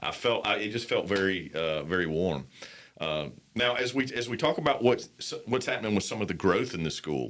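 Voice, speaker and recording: A man with a fairly low voice speaks at a fairly quick pace, with a slight Southern US accent. His pitch swings very widely. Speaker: podcast host. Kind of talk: casual interview.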